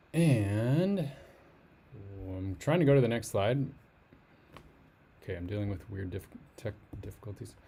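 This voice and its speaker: Quiet and somewhat breathy, a man speaks at a moderate pace with a fairly low pitch, a dark, mellow tone, lively intonation, big swings in loudness and long, frequent pauses. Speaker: crypto astrology youtuber. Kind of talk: casual video commentary. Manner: speaking quietly.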